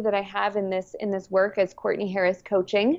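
Speaking very fast, a woman talks with a Southwestern US accent. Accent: American (Southwest). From New Mexico, US. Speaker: parenting coach. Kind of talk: interview conversation.

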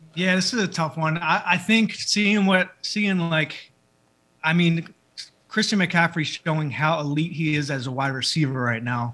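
With a Philadelphia accent, a man speaks at a moderate pace, high-pitched with a bright, sharp tone and ordinary pitch variation. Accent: Philadelphia American. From Philadelphia, US. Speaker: celebrity barber. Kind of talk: casual chat.

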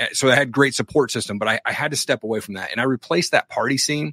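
Speaking at a fairly quick pace, a man with a fairly high pitch uses an animated, bright and sharp tone with ordinary pitch variation, captured in a dry, close sound with no echo. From US Pacific Northwest. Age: 40s. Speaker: podcast host and coach. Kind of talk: casual interview chat.

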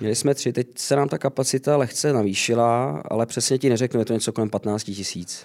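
At a fairly quick pace with hardly any pauses, a man of medium pitch uses a normal speaking voice and ordinary pitch variation, in a very clean recording with a silent background and a dry, close sound with no echo. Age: 30s. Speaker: singer in a tribute band. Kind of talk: interview.

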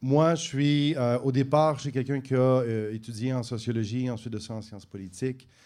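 Moderately paced, a man speaks at a medium pitch in a dark, mellow tone with fairly even intonation. His loudness swings widely. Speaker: politician. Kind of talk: political debate. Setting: bar with live audience.

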